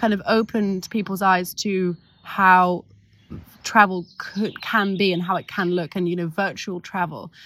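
A medium-pitched woman in a London accent. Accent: southern English (London). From London, England. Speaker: tour guide and business founder. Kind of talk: casual interview chat. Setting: outdoors. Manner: hesitant, many fillers.

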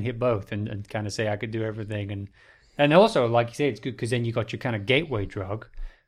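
A man speaks at a very fast pace. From England, raised near Edinburgh. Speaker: podcast host. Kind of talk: casual interview chat. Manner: animated.

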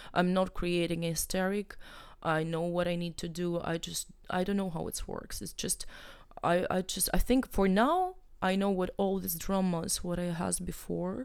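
A woman speaks with a Russian accent. Her pace is moderate. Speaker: artist and curator. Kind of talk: interview. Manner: halting.

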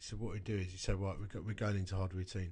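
Delivery is very fast, with monotone, flat intonation. The voice sounds somewhat breathy. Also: man. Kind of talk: casual chat.

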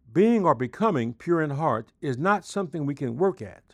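A man with an unremarkable speaking voice talks at a moderate pace with lively intonation. The background is quiet, and the sound is dry and close with no echo. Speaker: devotional speaker, pastor. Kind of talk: scripted devotional. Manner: formal.

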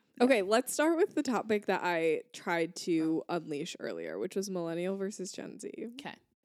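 A woman talks at a moderate pace in a normal speaking voice, medium in pitch with lively intonation. The recording is very clean, with a silent background. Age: 20s. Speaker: podcast co-host. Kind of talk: casual chat.

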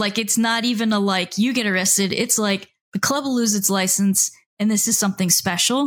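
A woman of medium pitch talks fairly quickly in a somewhat breathy voice, with fairly even intonation. Her loudness is very even, on a very clean recording with a silent background. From South Florida, Miami. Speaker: author and record label founder. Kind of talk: casual interview.

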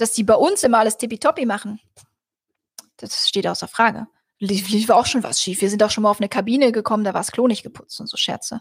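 Fairly even intonation at a fairly quick pace. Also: woman. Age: 30s. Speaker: cruise blogger. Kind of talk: solo livestream. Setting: livestream.

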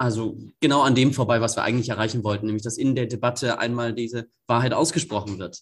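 This man sounds somewhat breathy and keeps a fairly even intonation. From northeastern Germany, Greifswald. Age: 20s. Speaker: climate activist and student. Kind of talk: interview.

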